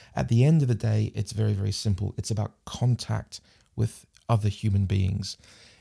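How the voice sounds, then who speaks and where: Here a man with a New Zealand accent talks at a moderate pace, fairly low in pitch with ordinary pitch variation. His tone is dark and mellow and somewhat breathy. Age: 40s. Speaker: international development specialist. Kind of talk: casual chat.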